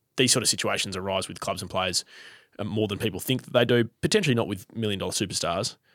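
Talking at a very fast pace, a man uses a medium pitch and ordinary pitch variation in a very clean recording with a silent background. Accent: Australian. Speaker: football podcast host. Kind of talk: casual chat. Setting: studio, face to face.

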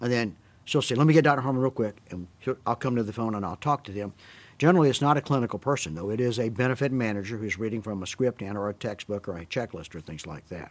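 In a Southern US accent, a man rattles along at a very fast pace at a medium pitch, with lively intonation and big swings in loudness. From US South. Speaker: physician. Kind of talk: interview about prior authorization, conversational.

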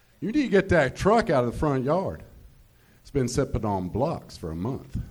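A man speaks with a Southern US accent. His pitch swings very widely at a moderate pace. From Georgia, US South. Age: 50s. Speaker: comedian. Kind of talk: stand-up. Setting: stage with audience.

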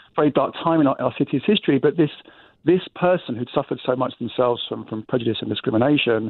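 Speaking with an English accent, a man moves at a fairly quick pace. His pitch variation is ordinary. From England, London. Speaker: walking tour company owner. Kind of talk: interview.

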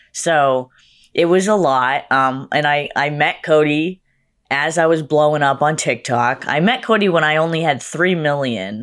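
A woman with a Massachusetts accent speaks at a very deep, low pitch and a fairly slow pace, with ordinary pitch variation. Her loudness stays very even on a very clean recording with a silent background. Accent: iconic Massachusetts. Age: 20s. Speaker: makeup artist and social media creator. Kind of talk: casual interview chat.

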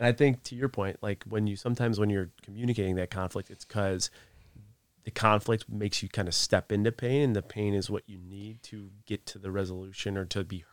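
In a plain, everyday voice, a man with an American accent speaks at a fairly low pitch with fairly even intonation and big swings in loudness, on a very clean recording with a silent background and a dry, close sound with no echo. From US Northeast. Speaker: author and businessman. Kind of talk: casual chat.

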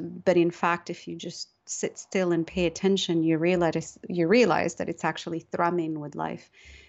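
At a fairly slow pace, a woman with a Moroccan accent speaks at fairly low pitch. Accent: Moroccan-inflected English. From Morocco. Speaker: novelist. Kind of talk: interview.

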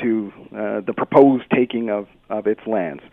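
Talking at a fairly slow pace, a man speaks with a Canadian accent. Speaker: municipal lawyer. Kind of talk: interview. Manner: halting, many fillers.

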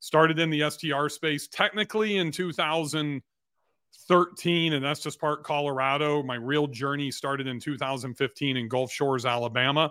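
An unremarkable speaking voice from a man with an American accent, a fairly high pitch and ordinary pitch variation. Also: moderate pace. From California (Bakersfield). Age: 50s. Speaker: entrepreneur and real estate investor. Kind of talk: interview.

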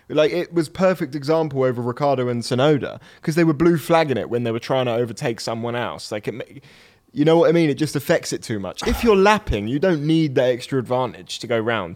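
Speech comes at a very fast pace with lively intonation. The accent is British. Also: man, fairly high pitch for a man.

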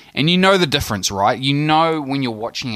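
Over a very clean, silent background, a man with a New Zealand accent talks in a bright, sharp tone with lively intonation. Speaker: basketball fan correspondent. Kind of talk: casual chat. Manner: hesitant, many fillers.

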